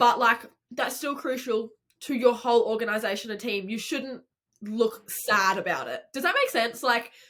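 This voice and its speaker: A woman speaks at a moderate pace with an Australian accent. Her pitch is high and varies in an ordinary way. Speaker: podcast co-host. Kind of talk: casual chat.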